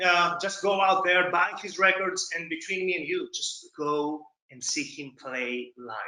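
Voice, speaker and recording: A man speaks with a Greek accent at a high pitch. His voice is raised and projected, with an animated tone. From Greece. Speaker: podcast host and psychiatrist. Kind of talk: podcast outro.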